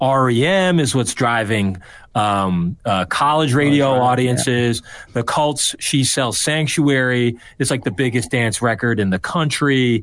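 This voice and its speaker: An unremarkable speaking voice from a man, medium in pitch with ordinary pitch variation, over a quiet background. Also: fairly slow pace. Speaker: political strategist. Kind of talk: casual chat.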